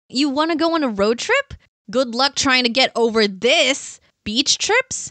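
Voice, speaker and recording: A woman with a high pitch and a bright, sharp tone projects her raised voice at a fairly slow pace with lively intonation and very even loudness, in a dry, close sound with no echo. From Australia and New Zealand. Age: 20s. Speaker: content creator. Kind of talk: narrated vlog. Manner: animated.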